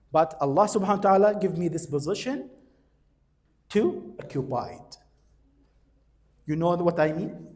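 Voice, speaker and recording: With lively intonation, a man talks at a moderate pace amid audible room echo. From Iraq. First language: Arabic. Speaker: university lecturer. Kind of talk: lecture.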